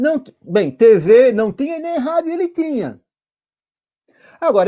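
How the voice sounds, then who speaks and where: Against a quiet background, a man speaks with a dark, mellow tone and lively intonation. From Santa Catarina, Brazil. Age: 60s. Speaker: union leader. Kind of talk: interview. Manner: halting.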